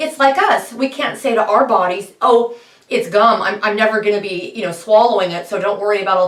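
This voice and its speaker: An animated woman's voice, fairly high in pitch, with lively intonation over noticeable background noise. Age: 50s. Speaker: horse trainer and bitless riding advocate. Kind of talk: monologue pep talk.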